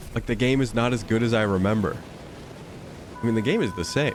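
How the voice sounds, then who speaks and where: Music plays behind a man who speaks at a moderate pace and medium pitch with ordinary pitch variation. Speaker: gaming streamer. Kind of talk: live gameplay commentary. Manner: halting, stumbling over words; casual, filler-heavy.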